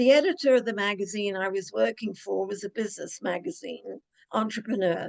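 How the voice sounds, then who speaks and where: A woman talks at a moderate pace with a British accent and lively intonation. The sound is dry and close, with no echo. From Cornwall, England. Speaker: mystery author and ghostwriter. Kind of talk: interview answer.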